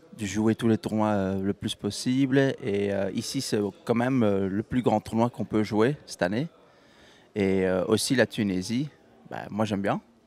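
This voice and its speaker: A man with a Belgian accent, fairly low pitch, ordinary pitch variation and a fairly slow pace, in a dry, close sound with no echo. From Belgium. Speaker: professional golfer. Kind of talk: interview. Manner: halting, many fillers.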